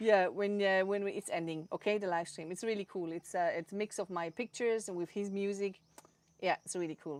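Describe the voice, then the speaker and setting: Dry, close sound with no echo, carrying a woman's medium-pitched voice at a fairly quick pace. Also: fairly even intonation. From Switzerland, Zurich. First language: Swiss German. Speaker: photographer. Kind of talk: interview. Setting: live stream. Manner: halting.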